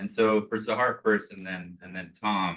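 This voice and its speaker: This man speaks loudly in a fairly low voice with a bright, sharp tone. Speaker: panel moderator; professor. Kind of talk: panel discussion.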